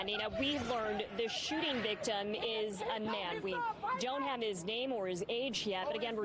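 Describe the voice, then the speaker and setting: A woman talks with lively intonation at a fairly high pitch. Crowd noise carries in the background. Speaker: television reporter and helicopter photojournalist. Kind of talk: live news reporting and interview questions. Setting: outdoors at a live news scene.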